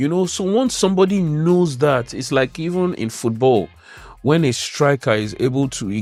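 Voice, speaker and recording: A man speaks with a Nigerian accent and lively intonation at a moderate pace. Music plays in the background. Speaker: spoken word poet. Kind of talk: interview answer.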